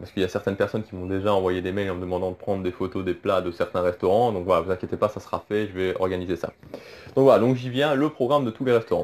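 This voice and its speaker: At a very fast pace, a man speaks with a fairly low pitch. His pitch varies in an ordinary way. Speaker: Disney travel YouTuber. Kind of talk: casual vlog talk. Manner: hesitant, many fillers.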